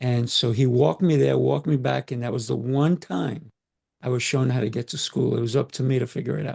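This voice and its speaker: At a fairly quick pace, a man talks with a medium pitch and ordinary pitch variation. His voice is somewhat breathy. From Colombia, moved to US at about eight. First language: Spanish. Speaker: communication coach. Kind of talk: podcast interview.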